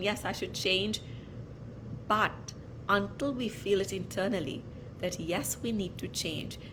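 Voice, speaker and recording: Medium-pitched female speech in a room with audible echo. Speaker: wellness podcast host. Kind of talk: casual monologue.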